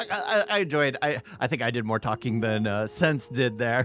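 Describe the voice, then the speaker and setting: With music in the background, a man's lively intonation carries along at a moderate speed. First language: Spanish. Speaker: reaction content creator. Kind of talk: casual commentary. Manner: halting.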